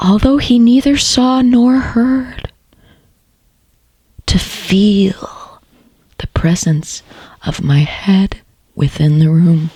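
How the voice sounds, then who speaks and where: A woman at a very slow pace with lively intonation. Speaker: voice actor. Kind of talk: dramatic story reading. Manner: soft, slow.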